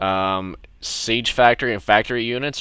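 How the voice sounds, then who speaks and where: Music plays in the background behind a man. His pitch is fairly low, with ordinary variation. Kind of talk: casual game tutorial narration. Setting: low-quality home microphone. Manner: occasional stuttering.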